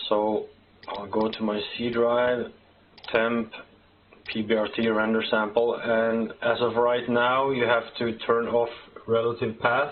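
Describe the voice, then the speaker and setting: The speaker has a Norwegian accent and a monotone, flat intonation. The pace is fairly slow, with long, frequent pauses. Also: man. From Norway. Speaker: software developer; software tutorial maker. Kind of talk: tutorial. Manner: halting. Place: home room.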